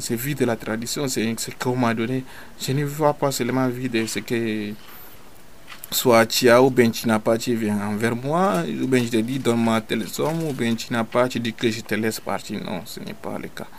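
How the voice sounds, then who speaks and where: Amid noticeable background noise, a man of medium pitch talks at a moderate pace with ordinary pitch variation. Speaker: traditional healer. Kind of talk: radio interview. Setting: at his home.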